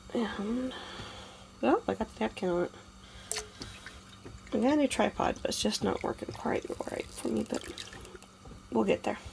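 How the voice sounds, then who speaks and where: The speech moves at a moderate pace with long, frequent pauses, set against noticeable background noise. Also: woman. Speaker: homesteading vlogger. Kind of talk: cooking tutorial. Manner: casual, hesitant with fillers.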